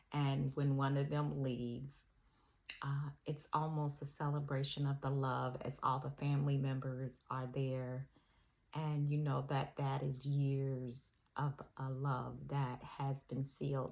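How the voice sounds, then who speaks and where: A woman speaking at a very slow pace, very deep and low in pitch, in a monotone with flat intonation. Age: 60s. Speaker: hospice nurse. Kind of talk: casual talk to camera.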